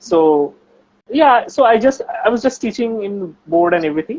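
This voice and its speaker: A high-pitched man with a strong Bengali accent and very wide pitch swings. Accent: Bengali accent, heavy. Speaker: researcher and science YouTuber. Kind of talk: casual chat.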